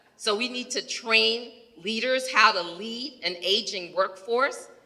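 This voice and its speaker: At a very slow pace, this voice with an American accent shows ordinary pitch variation over noticeable background noise. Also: woman, fairly high pitch for a woman. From New York. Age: 60s. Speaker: healthcare executive. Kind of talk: audience comment at panel Q&A. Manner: animated.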